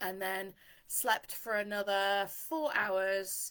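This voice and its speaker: A loud, bright, sharp woman's voice at medium pitch on a very clean recording with a silent background. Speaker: dog trainer. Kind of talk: live stream talk. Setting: Facebook Live stream.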